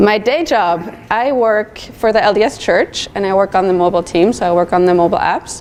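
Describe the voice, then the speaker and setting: A woman speaks at a moderate pace with ordinary pitch variation, over noticeable background noise. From Switzerland. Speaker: designer. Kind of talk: conference talk. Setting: stage with audience.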